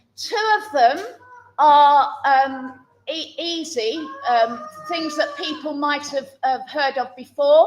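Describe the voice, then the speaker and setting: A woman's high voice, very slow, with ordinary pitch variation and big swings in loudness. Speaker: church service leader. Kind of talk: interactive church talk with quiz. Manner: halting, many fillers.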